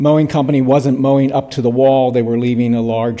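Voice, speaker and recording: A man talks in a dark, mellow tone. His intonation is monotone and flat. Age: 70s. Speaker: public commenter at town meeting. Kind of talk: public comment at town board meeting. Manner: halting, many fillers.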